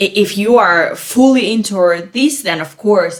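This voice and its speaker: The speaker has a non-native accent. The intonation is lively. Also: woman. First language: not English. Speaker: podcast co-host. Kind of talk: casual chat. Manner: halting, many fillers.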